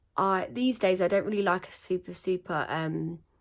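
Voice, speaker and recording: This woman has a British accent, medium pitch and lively intonation. The recording is very clean, with a silent background. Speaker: beauty vlogger. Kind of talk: makeup tutorial. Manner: casual, with fillers.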